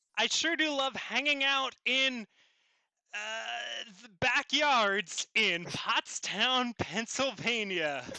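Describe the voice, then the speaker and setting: Putting on a character voice, a man speaks at an extremely high pitch and a very slow pace, with long, frequent pauses. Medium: game stream. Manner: excitable, awed.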